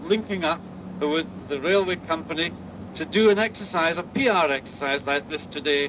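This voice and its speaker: With noticeable background noise present, a man speaks at a high pitch whose variation is ordinary. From Scotland. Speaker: tourism board director. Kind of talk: public speech at ceremony.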